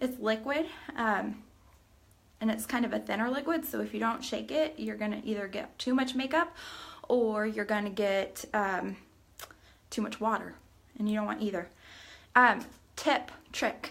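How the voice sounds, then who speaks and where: Moderate pace with long, frequent pauses, ordinary pitch variation and an American accent. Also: woman, fairly high pitch for a woman. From US South, Shelbyville area. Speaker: makeup tutorial vlogger and beauty product seller. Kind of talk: tutorial. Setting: live stream. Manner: casual, chatty.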